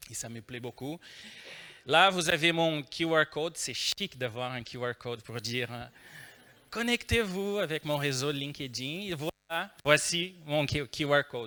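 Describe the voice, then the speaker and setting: A man with a Brazilian accent at a very slow pace, fairly high pitch, lively intonation, big swings in loudness and a bright, sharp tone, on a very clean recording with a silent background. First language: Portuguese (speaking French). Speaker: agile trainer and consultant. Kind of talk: conference talk. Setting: stage with audience. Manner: hesitant, many fillers.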